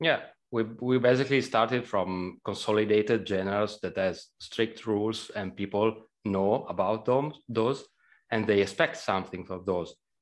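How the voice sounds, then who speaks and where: Against a quiet background, a man with an Italian accent speaks at a moderate pace, his fairly low pitch varying in an ordinary way. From Italy. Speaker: game programmer. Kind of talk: casual interview.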